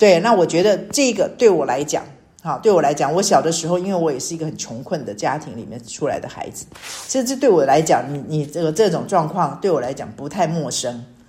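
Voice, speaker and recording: A woman speaks at a fairly quick pace with a very deep, low pitch, very wide pitch swings and big swings in loudness over noticeable background noise. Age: 60s. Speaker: church small-group leader. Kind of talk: devotional sharing.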